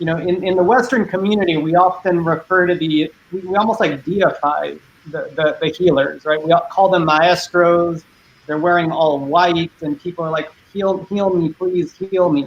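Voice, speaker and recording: A Spanish accent with fairly even intonation. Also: man, high pitch for a man, moderate pace. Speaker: panelist. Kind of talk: panel discussion.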